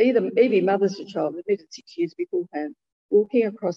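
The reading voice is unforced. Quiet surrounds it.

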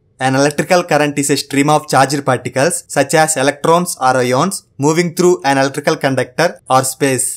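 Against a quiet background, a man speaks with fairly even intonation and very even loudness. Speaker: interview candidate. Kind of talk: interview answer. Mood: playful, joking. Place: office.

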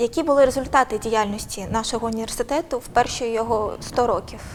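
A woman speaks in a normal speaking voice, fairly high in pitch, at a fairly quick pace with ordinary pitch variation. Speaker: interviewer. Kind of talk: interview. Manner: formal.

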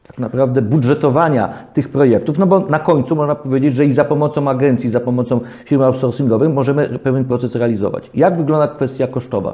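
At a very fast pace, a man speaks with very even loudness and fairly even intonation. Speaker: legal talk show host. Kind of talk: interview. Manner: formal. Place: studio. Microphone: lapel.

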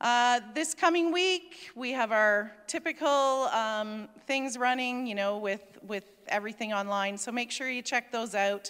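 At a fairly slow pace, the words come over a quiet background. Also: woman. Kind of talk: church announcements. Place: church. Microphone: handheld.

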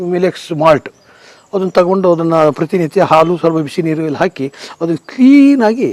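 High-pitched, a man speaks with lively intonation. The sound is dry and close, with no echo. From rural Karnataka, India. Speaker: paddy trader, customer testimonial. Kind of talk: testimony.

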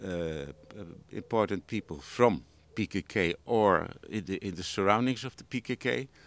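A man speaks at a fairly slow pace with ordinary pitch variation. The sound is dry, with no echo. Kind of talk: interview answer. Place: garden. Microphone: handheld.

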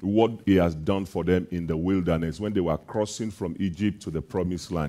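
At a moderate pace, a man speaks in a dark, mellow tone with a very deep, low pitch. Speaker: preacher. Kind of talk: sermon. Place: church. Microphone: headset.

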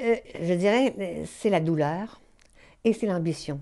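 A woman speaks with a dark, mellow tone and fairly low pitch. Her very slow pace is set against a quiet background. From Quebec. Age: 70s. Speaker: novelist. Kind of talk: interview. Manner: halting. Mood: calm, thoughtful.

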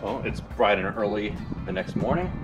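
A man's fairly low voice over noticeable background noise. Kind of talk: casual build vlog narration. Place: open country. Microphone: camera far.

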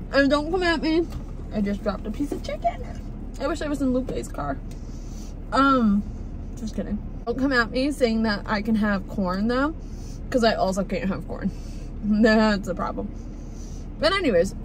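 At a moderate pace, a woman speaks with long, frequent pauses in a dry, echo-free recording with light background noise. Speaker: food vlogger. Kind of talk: casual vlog chat. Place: car. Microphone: phone near.

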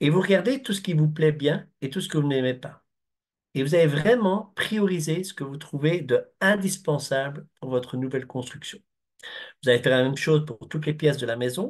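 A man with a Belgian accent speaks at a moderate pace in a fairly high, somewhat breathy voice with ordinary pitch variation against a quiet background. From Belgium. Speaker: construction project consultant. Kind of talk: webinar presentation. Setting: video call. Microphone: video call.

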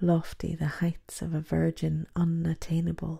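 A woman speaks at a fairly slow pace in a fairly low, dark, mellow voice with some breathiness, on a very clean recording with a silent background. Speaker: poet. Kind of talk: spoken word poetry reading.

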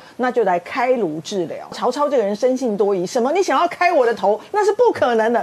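A woman talks at a fairly quick pace. Her high voice swings very widely in pitch. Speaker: veteran journalist. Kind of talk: casual chat. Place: studio. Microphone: lapel.

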